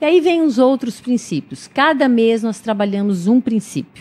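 Very wide pitch swings run through this woman's somewhat breathy voice. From interior of São Paulo state, Brazil. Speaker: clinical psychologist and volunteer. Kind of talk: radio interview. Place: studio. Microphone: studio mic.

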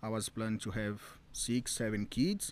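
Speaking with a Brazilian accent, a man at medium pitch keeps a fairly quick pace, the sound dry with no echo. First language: Portuguese. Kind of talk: interview. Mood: earnest, warm. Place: garden. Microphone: studio mic.

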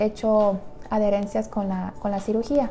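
Against light background noise, a woman speaks with a dark, mellow tone. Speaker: nutritionist vlogger. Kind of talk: personal story vlog. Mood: calm, intimate storytelling. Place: home room. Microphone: lapel.

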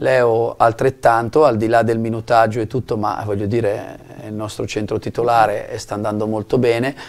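A medium-pitched man talks at a fairly quick pace. His intonation is monotone and flat. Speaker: basketball coach. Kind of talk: studio interview. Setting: TV studio. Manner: calm and composed.

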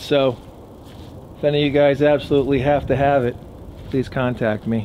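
A man at a moderate pace with light background noise. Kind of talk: casual vlog chat. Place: garden. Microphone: phone near.

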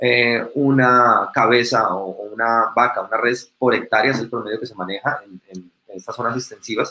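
A man speaks at a moderate pace with a bright, sharp tone. His intonation stays fairly even, and audible room echo surrounds him. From Colombia, Bogotá. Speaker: ecologist and tour operator; presenter. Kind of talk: conference presentation. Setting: video call. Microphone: webcam.

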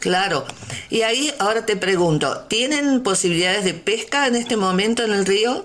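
A woman's fairly high voice, lively in intonation and very even in loudness, at a moderate pace, with noticeable background noise and audible room echo. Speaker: community radio host. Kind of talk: interview.

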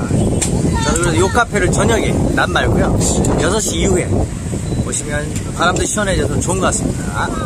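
A man at a moderate pace, dry sound with no echo, and loud background noise. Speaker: travel vlogger. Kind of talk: casual vlog chat. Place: cafe. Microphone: phone near.

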